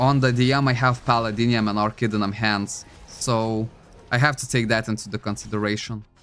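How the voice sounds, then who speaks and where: A man with a non-native accent, medium pitch, monotone, flat intonation and a fairly quick pace. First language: not English. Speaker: gaming streamer. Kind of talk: live stream gameplay chat.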